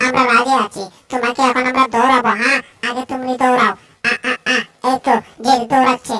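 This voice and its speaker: A cartoonish character voice, female-sounding and high in pitch. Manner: shouty, repetitive.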